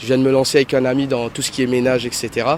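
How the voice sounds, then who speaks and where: A man talks over noticeable background noise. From Mauritius. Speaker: self-employed passer-by interviewed. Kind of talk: street interview.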